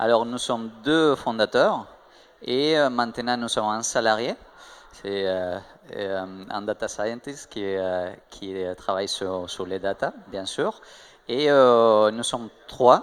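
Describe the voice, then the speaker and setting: Speaking at a very slow pace in a strong Spanish accent, a man keeps a medium pitch with ordinary pitch variation. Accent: marked Spanish. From Spain. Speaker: tech startup co-founder. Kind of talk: interview. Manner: hesitant, many fillers.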